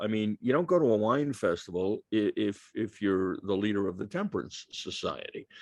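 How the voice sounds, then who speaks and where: With hardly any pauses, the voice moves at a moderate pace through very wide pitch swings, the sound dry and close with no echo and the background quiet. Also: man. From New York. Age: 60s. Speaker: author. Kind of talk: Q&A at a book talk.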